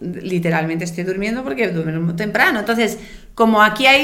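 A woman speaks with a bright, sharp tone. The room echo is audible. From outside Spain. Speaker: triathlon podcast co-host. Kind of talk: casual chat.

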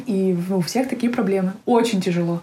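A woman speaks at a moderate pace with a medium pitch, ordinary pitch variation, and a dark, mellow, somewhat breathy tone. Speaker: emigrant entrepreneur. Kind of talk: casual interview. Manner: hesitant, many fillers.

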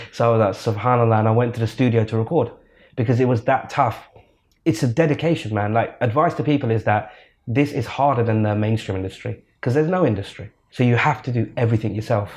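Somewhat breathy, a man with a London accent talks at a very fast pace against a quiet background. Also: medium pitch for a man, ordinary pitch variation. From England, British Pakistani. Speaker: nasheed singer. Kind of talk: interview. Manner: animated.

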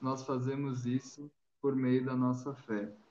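This man speaks with a southern Brazilian accent. His pitch sits at a medium level. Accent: southern Brazilian (gaúcho) Portuguese. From Rio Grande do Sul, Brazil. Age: 20s. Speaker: podcast host. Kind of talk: casual chat.

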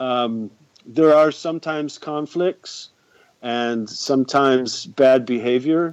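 Speaking at a very slow pace, a man with a Northern US accent holds a medium pitch. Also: ordinary pitch variation. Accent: American, northern US. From US, upstate New York (Rochester area). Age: 50s. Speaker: soccer fan guest. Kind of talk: casual podcast interview.

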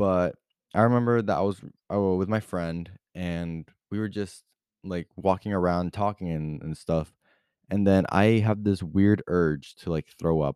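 A man speaks at a fairly slow pace with a very deep, low pitch, a dark, mellow tone and fairly even intonation, recorded very cleanly against a silent background with a dry, close sound and no echo. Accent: American. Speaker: podcast host. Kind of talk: casual monologue. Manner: casual, hesitant with many fillers.

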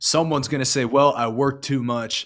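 A man talks at a moderate pace and medium pitch, in a normal speaking voice. The recording is very clean, with a silent background. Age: 20s. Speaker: online evangelist. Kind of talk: casual chat.

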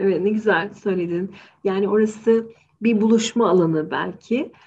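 At a fairly slow pace, a woman speaks in a somewhat breathy, medium-pitched voice with fairly even intonation. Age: 40s. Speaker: psychologist, podcast co-host. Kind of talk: casual discussion podcast.

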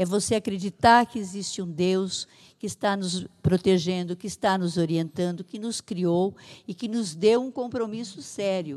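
A woman's medium-pitched, normal speaking voice at a fairly slow pace with ordinary pitch variation. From Brazil, São Paulo state (Santa Adélia). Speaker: municipal social assistance secretary. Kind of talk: interview.

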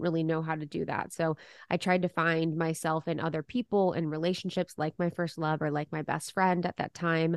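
In a quiet background, a woman with an unremarkable speaking voice talks at a fairly low pitch with fairly even intonation, the sound dry and close with no echo. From Ohio, US Midwest. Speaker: podcast host. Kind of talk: interview.

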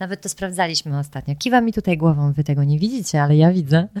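A woman with an unremarkable speaking voice, a fairly low pitch, lively intonation, and a moderate pace, in a very clean recording with a silent background and a dry, close sound with no echo. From Poland. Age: 30s. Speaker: podcast host. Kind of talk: casual interview conversation. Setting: in-person at guest's home.

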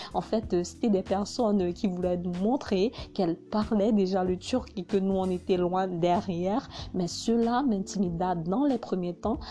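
At a fairly slow pace, a woman talks at a medium pitch in a dark, mellow tone with ordinary pitch variation. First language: Hausa (speaking French). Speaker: vlogger. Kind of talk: personal narration.

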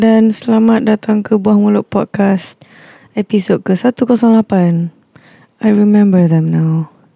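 A woman speaks at medium pitch in a dark, mellow tone, her intonation fairly even. Her loudness stays very even at a moderate pace. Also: dry, close sound with no echo. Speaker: podcast co-host; performer in a singing show. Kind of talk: casual chat. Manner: sleepy-sounding.

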